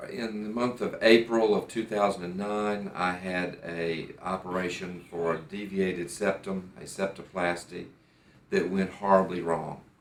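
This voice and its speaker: A man with an American accent and a very deep, low pitch speaks at a fairly slow pace with fairly even intonation. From United States. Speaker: patient. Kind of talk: testimony. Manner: halting, with fillers and repeats.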